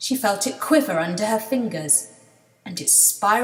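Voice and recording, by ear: The intonation is lively as the speaker is reading aloud in a natural voice.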